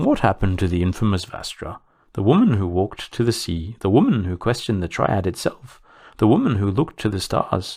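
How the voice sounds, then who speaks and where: In a very clean recording with a silent background, a man puts on a sing-song character voice, fairly low in pitch and at a fairly quick pace. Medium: read story. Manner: calm, reasoning.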